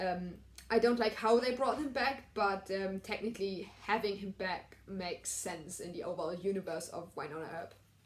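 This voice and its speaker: Speaking at a moderate pace in a normal speaking voice, a woman of medium pitch shows ordinary pitch variation and big swings in loudness. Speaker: TV recap vlogger. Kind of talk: casual review monologue.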